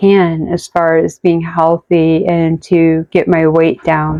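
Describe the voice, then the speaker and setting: Speaking at a very slow pace, a woman has a fairly low pitch. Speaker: vlogger with Parkinson's. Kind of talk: personal vlog. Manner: soft-spoken.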